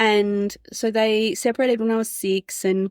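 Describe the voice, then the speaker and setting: A woman speaks with an Australian accent in a monotone, flat intonation. The sound is dry and close with no echo, and the recording is very clean with a silent background. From Australia, Adelaide Hills. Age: 30s. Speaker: podcast guest sharing life story. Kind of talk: personal testimony interview.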